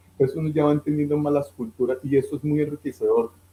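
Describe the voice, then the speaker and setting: Talking at a very fast pace, a man with a dark, mellow tone sounds somewhat breathy and shows ordinary pitch variation. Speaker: financial advisor. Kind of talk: interview.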